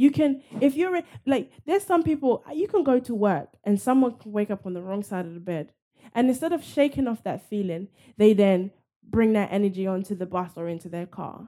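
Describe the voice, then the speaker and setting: Talking at a fairly quick pace in a London accent, a woman with a fairly high pitch and a dark, mellow tone shows very wide pitch swings and big swings in loudness. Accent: British (London) English. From London, England. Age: 20s. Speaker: fitness and nutrition coach and actress. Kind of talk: casual interview chat.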